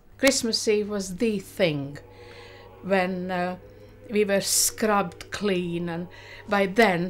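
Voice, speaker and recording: A woman speaks at a medium pitch with fairly even intonation and a very slow pace. Long, frequent pauses break up her speech over music in the background. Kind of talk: reminiscing interview.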